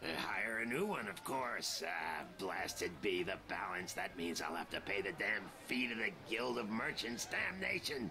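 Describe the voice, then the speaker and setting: Loud background noise sits behind a man doing a put-on character voice. He keeps a medium pitch and a moderate pace. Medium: video game. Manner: gruff, grumbling.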